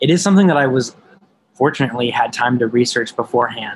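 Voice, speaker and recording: A man with an American accent, talking at a very fast pace. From Madison, Wisconsin. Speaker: city council member. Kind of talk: interview.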